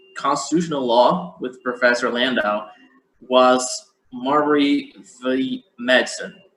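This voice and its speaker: Speaking with a Portuguese accent, a man uses a medium pitch and fairly even intonation. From Brazil. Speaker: event moderator, law scholar. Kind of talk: academic panel discussion. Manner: halting, many repetitions.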